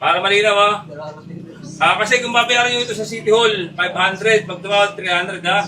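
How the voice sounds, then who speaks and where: The voice is raised and projected, moving at a very fast pace. Noticeable background noise runs underneath. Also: man. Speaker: police commander. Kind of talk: confrontation during police operation. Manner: loud; firm.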